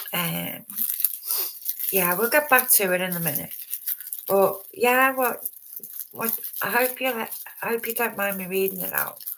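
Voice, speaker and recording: Someone mumbles at a fairly slow pace, leaving long, frequent pauses. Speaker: true crime livestreamer. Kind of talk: live stream commentary. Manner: halting, many fillers; mumbling.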